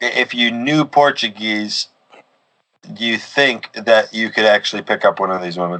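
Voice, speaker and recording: The voice belongs to a man with a bright, sharp tone. His pitch varies in an ordinary way. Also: medium pitch for a man, moderate pace. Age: 20s. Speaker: podcast host. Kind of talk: casual chat.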